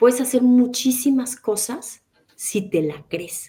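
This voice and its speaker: A woman speaks at a very slow pace. Her tone is dark and mellow, and somewhat breathy. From Mexico. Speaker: interpreter and translator. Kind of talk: interview.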